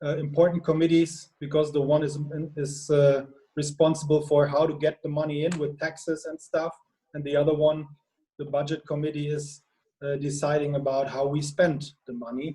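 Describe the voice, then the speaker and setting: A man speaks in a fairly high pitch with a dark, mellow tone, somewhat breathy. His moderate pace is broken by long, frequent pauses, and his intonation is monotone and flat. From Germany, Lower Saxony. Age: 30s. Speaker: politician. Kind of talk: self-introduction in a video discussion. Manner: halting, with many fillers.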